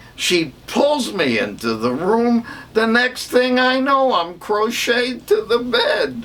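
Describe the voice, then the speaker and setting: Against noticeable background noise, a man uses lively intonation at a very slow pace. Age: 80s+. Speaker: stand-up comedian. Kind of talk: stand-up.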